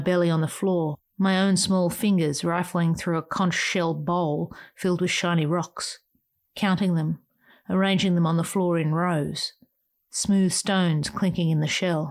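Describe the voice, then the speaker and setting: The speaker talks at a fairly slow pace in a flat, monotone delivery. The recording is very clean, with a silent background. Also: woman. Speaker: podcast host and essayist. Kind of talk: scripted reading of a personal memorial essay. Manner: tender, lyrical reminiscence, lingering on sensory images; wistful and emotional, with soft asides.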